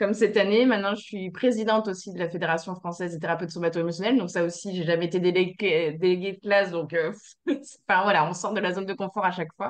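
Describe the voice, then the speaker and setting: The woman talks at a very fast pace in a medium pitch. Her intonation stays fairly even. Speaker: somato-emotional therapist. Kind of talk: casual chat. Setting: video call. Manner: halting.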